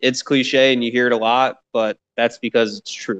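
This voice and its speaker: The speaker has an American accent and a monotone, flat intonation, recorded with a dry, close sound and no echo. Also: man. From Michigan. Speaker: stand-up comedian. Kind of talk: casual interview chat.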